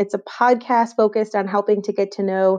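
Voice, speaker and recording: Against a quiet background, a woman with a Western New York accent speaks fairly quickly at a medium pitch, her tone dark and mellow and her intonation flat and monotone. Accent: Western New York (Inland North) American. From Western New York, Rochester. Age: 20s. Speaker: podcast host. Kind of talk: solo podcast monologue.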